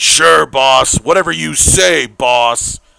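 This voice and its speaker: Using a put-on character voice, a man talks very slowly at a medium pitch, his pitch swinging very widely. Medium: read story. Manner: gruff, deferential to the boss.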